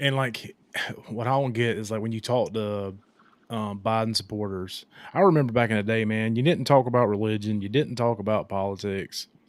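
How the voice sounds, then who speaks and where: A man talks fairly quickly in an ordinary speaking voice. His medium pitch follows fairly even intonation. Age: 40s. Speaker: podcast host. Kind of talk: casual chat.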